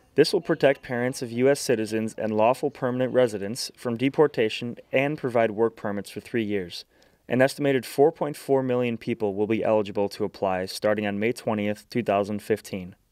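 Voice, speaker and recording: Here is a man with an unremarkable speaking voice at a medium pitch and a fairly quick pace. His pitch varies in an ordinary way, and the sound is dry and close with no echo. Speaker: TV news reporter and anchor. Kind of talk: local TV news reporter delivery. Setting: on-location field reports and studio anchoring.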